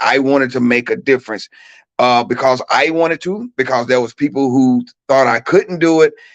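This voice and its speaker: In a Southern US accent, a man speaks at a moderate pace and medium pitch, recorded with a dry, close sound and no echo. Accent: Southern country accent, kept. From US South, Mississippi (Shannon, near Tupelo). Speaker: track coach and educator. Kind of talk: talk show interview, personal story. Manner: casual, repeats words when speaking.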